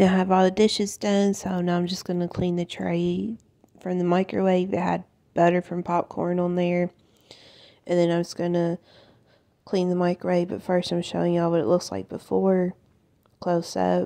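Over a quiet background, a woman talks at a moderate pace. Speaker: home cleaning vlogger. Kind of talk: casual vlog chat. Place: kitchen.

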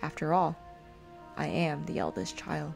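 A woman speaks in a calm tone. Music plays in the background. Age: 20s. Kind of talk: poetic diary narration. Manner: reflective, calm.

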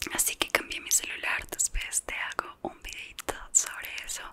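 At a moderate pace, a woman whispers. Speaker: ASMR creator. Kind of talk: casual chat to camera. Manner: whispered. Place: home room. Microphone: studio mic.

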